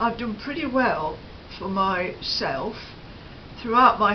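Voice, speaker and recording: The voice carries a British accent. Audible room echo and noticeable background noise come through. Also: woman. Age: 70s. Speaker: lifestyle vlogger. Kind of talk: casual chat. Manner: hesitant, many fillers.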